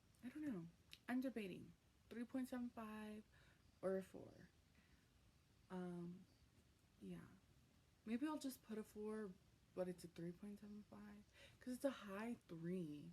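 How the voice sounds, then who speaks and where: Somewhat breathy and dark, mellow in tone, a woman speaks with long, frequent pauses. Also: medium pitch for a woman, ordinary pitch variation. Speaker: booktuber. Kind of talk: vlog. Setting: at home at night. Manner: casual, hesitant with many ums.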